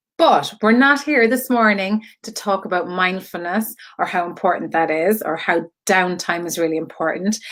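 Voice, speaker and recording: With a Cork accent, a woman speaks fairly slowly at a medium pitch, her intonation lively. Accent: Cork Irish. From Ireland, Cork. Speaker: online creative community host and artist. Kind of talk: live stream monologue. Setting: Facebook live video. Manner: chatty, many fillers.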